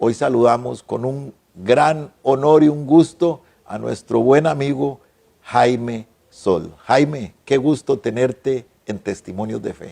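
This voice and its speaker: At a very slow pace, a man speaks at a medium pitch with ordinary pitch variation and big swings in loudness. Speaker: TV talk show host. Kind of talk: interview.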